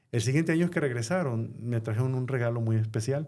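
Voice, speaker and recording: Medium in pitch, a man's voice carries a dark, mellow tone and ordinary pitch variation. The recording is very clean, with a silent background. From Mexico (Sinaloa, Culiacán). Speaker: pastor and Spanish radio Bible teacher. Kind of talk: personal testimony in podcast interview. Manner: measured, pausing with fillers.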